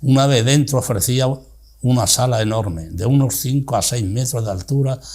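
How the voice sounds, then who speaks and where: A somewhat breathy man's voice at medium pitch, with ordinary pitch variation and a moderate pace. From Spain, Cáceres (Extremadura). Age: 80s+. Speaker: retired teacher, interviewee. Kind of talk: reading aloud from own memoir.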